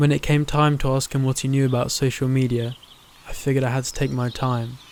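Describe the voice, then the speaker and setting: Talking very fast in a monotone, flat intonation, a man at a medium pitch is heard over noticeable background noise. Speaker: student filmmaker. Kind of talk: documentary narration.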